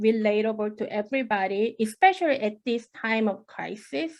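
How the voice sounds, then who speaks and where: In a Korean accent, a woman speaks at a moderate pace with fairly high pitch and ordinary pitch variation against a quiet background. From South Korea. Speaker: professor. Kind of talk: academic talk. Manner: halting.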